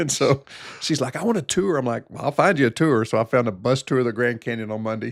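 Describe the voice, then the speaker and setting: With an American accent, a man speaks very fast at a medium pitch with ordinary pitch variation, in a dry, close recording with no echo and noticeable background noise. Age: 60s. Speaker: family physician. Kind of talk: casual chat.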